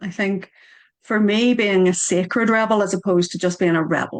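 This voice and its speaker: In a Northern Irish accent, a woman with a medium pitch speaks with fairly even intonation over a quiet background. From Northern Ireland. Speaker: author and Reiki teacher. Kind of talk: casual chat. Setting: video call.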